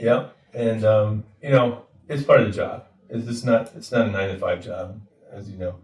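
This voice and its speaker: A man speaks at a moderate pace with a medium pitch and a somewhat breathy voice. His intonation stays fairly even while his loudness swings widely. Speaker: mortgage lender. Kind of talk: interview. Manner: hesitant, many fillers.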